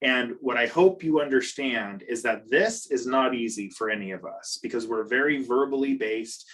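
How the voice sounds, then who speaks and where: An ordinary speaking voice from a man, medium in pitch, at a moderate pace. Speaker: behaviour consultant and parent coach. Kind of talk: online training presentation. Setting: video call.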